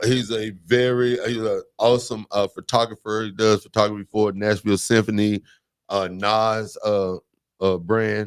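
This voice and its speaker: Recorded very cleanly against a silent background, a man speaks at a moderate pace in a fairly low pitch, his intonation monotone and flat, the sound dry and close with no echo. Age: 50s. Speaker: radio host. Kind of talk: casual chat. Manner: mumbling.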